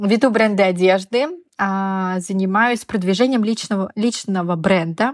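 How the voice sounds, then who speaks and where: A woman's medium-pitched voice with ordinary pitch variation, in a very clean recording with a silent background. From Russia, Yamal. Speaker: fashion PR specialist. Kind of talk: casual interview.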